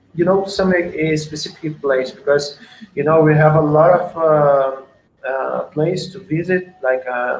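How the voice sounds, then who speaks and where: A man with a Portuguese accent, fairly high in pitch, at a fairly slow pace with fairly even intonation. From Portugal. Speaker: surf coach. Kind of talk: casual chat. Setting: video call. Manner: halting.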